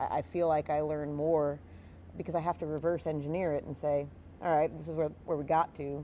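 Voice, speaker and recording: A woman speaks with a very deep, low pitch and a dark, mellow tone. Her pace is fairly quick and her intonation fairly even. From outside the US South. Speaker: podcast host and fight event staff, martial arts instructor. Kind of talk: casual podcast chat.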